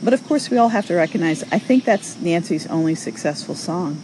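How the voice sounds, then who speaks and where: A woman with an American accent speaks fairly low and at a fairly quick pace, her pitch swinging very widely. Noticeable background noise runs underneath. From New York. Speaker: social audio show host. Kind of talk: casual chat responding to callers.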